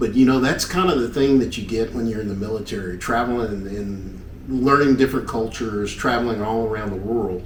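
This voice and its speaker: Speaking in a Southern US accent at a fairly quick pace with hardly any pauses, the voice carries audible room echo and noticeable background noise. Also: man, medium pitch for a man, ordinary pitch variation. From US South, Knoxville, Tennessee. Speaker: retired army helicopter pilot. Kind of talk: casual interview.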